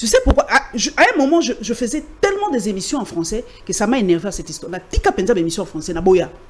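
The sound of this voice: A woman talks at a very fast pace. Her pitch is medium and her intonation lively.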